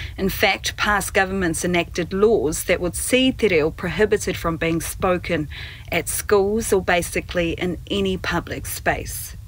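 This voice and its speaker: A woman's fairly slow speech over noticeable background noise. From New Zealand. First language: Māori. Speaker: newsreader and broadcast journalist. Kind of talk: keynote speech. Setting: pre-recorded video keynote.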